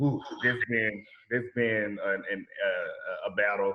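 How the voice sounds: The speaker has a Southern US accent and a slow pace. Pitch varies in an ordinary way. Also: man, fairly low pitch for a man.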